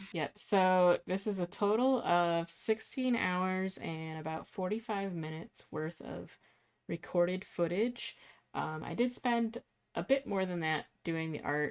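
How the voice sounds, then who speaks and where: A soft-spoken woman talks fairly slowly. Her pitch rises and falls in an ordinary way. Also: medium pitch for a woman. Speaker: illustrator. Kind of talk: casual chat. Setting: live stream.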